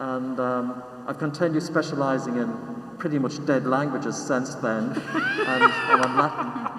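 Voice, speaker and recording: A man speaks at a fairly slow pace with lively intonation and a fairly high pitch. Audible room echo and noticeable background noise are present. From Ireland. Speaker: composer. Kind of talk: interview. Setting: live stream video. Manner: halting.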